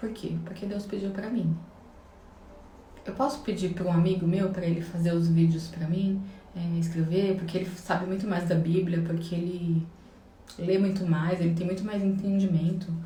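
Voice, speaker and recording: Amid audible room echo, a woman with a fairly low pitch speaks at a moderate pace with fairly even intonation and long, frequent pauses. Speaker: religious vlogger. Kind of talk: devotional vlog monologue.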